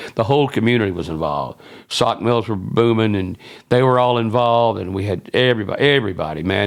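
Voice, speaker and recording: Medium pitch, a Southern US accent and ordinary pitch variation from a man speaking at a fairly quick pace, recorded very cleanly against a silent background. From South Carolina (Loris, near Myrtle Beach). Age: 70s. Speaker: former radio man and band associate. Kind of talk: podcast interview, storytelling. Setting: filmed at a fan club and museum. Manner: rambling, self-interrupting with false starts.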